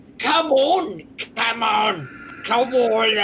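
A put-on character voice is heard with clear background noise behind it. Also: female-sounding voice, fairly high pitch for a woman. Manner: urgent, shouting.

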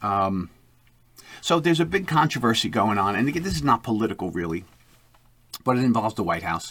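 This very clean recording has a silent background. A man talks at a fairly quick pace with lively intonation. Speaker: podcast host. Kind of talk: political commentary monologue. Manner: fast; animated.

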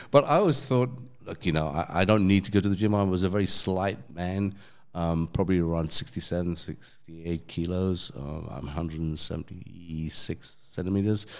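A man with a London accent and a very deep, low pitch talks at a moderate pace with ordinary pitch variation, in a very clean recording with a silent background. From London, England. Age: 50s. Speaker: DJ and former cafe owner. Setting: in person at a gym.

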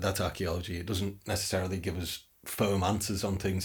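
Somewhat breathy and fairly low, a man's voice moves at a fairly quick pace in a northern English accent. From northern England. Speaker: podcast host. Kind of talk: interview. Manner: halting, with frequent repetitions.

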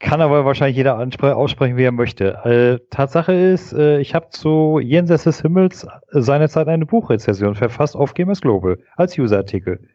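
A man speaks at a moderate pace in a fairly high pitch with lively intonation and very even loudness. He has a plain, everyday voice. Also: hardly any pauses. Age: 40s. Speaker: podcast guest. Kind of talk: casual chat.

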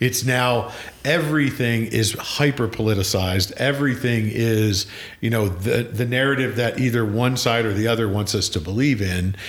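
Over noticeable background noise, a man with an American accent talks at a medium pitch and a moderate pace, with ordinary pitch variation and very even loudness. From Pennsylvania. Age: 50s. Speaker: podcast host. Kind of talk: casual chat.

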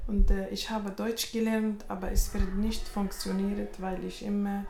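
Very slow speech from a woman amid audible room echo and noticeable background noise. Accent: Arabic. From Tunisia. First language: Arabic (speaking German). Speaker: language course participant. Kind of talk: personal introduction. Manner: halting.

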